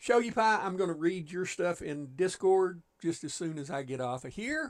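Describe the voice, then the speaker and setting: Lively intonation and a relaxed tone come from a man speaking at a moderate pace with a high pitch. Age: 60s. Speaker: gaming livestreamer. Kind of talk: casual livestream chat. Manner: relaxed, folksy.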